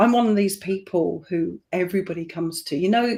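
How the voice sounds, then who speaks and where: Speaking with an English accent, a woman uses a medium pitch at a moderate pace with ordinary pitch variation. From England. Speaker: tarot reader. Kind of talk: casual interview chat. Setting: live online stream.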